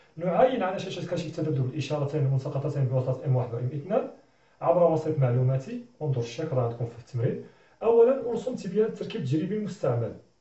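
A man's fairly high voice at a very fast pace, with very wide pitch swings and audible room echo. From Morocco. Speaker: physics teacher. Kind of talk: tutorial. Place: classroom. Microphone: camera far.

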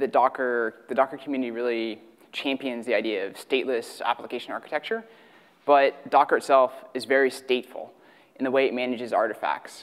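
A man's fairly quick delivery against a quiet background. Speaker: conference presenter. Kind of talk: technical talk. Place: hall. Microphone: podium.

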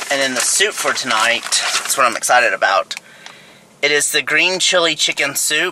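In a dry sound with no echo, a man talks at a moderate pace while noticeable background noise runs behind him. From Texas. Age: 30s. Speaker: lifestyle vlogger. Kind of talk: casual vlog talk to camera. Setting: in a car. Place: car. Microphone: phone near.

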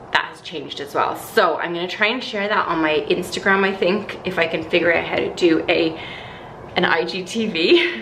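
Over light background noise, a woman with a fairly low pitch speaks at a moderate pace, with big swings in loudness. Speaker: lifestyle vlogger. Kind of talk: casual vlog chat. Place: home room. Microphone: phone near.

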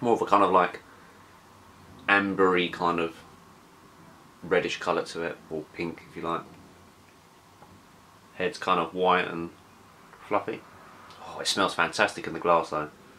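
The voice has a bright, sharp tone and little pitch movement, moving at a fairly slow pace with long, frequent pauses. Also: man, low pitch for a man.

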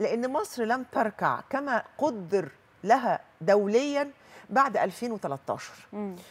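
At a very slow pace, a woman's voice moves through very wide pitch swings. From Egypt. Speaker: journalist and writer; journalist. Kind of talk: studio interview. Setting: studio. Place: studio.

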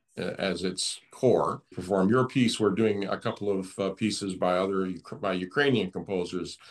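An unremarkable speaking voice, this man's is fairly low with an American accent, moving at a moderate pace with ordinary pitch variation against a quiet background. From US. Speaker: pianist. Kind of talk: interview. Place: home room. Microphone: video call.

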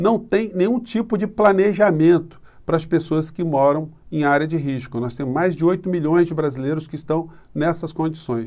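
A man speaks at a moderate pace in a high pitch, with ordinary pitch variation against a quiet background. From Brazil. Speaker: political commentator YouTuber. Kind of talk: political commentary monologue. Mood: critical, indignant. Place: home room. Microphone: phone near.

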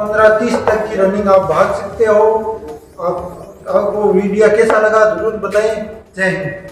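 A man at a high pitch, very slow and monotone, with audible room echo and light background noise. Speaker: fitness coach. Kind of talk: tutorial.

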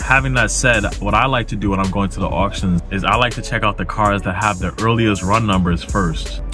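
A man speaks at a fairly low pitch. The sound is dry with no echo, and music plays clearly in the background. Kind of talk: tutorial. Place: car. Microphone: phone near.

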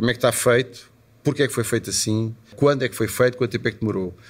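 Somewhat breathy, a man talks at a very fast pace. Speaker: musician and club owner. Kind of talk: interview. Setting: at his club venue.

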